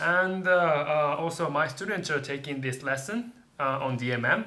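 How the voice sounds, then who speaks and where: A man with a Japanese accent speaks at a fairly high pitch with ordinary pitch variation, and audible room echo surrounds his voice. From Japan, Tokyo. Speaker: English teacher. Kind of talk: casual chat. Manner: halting.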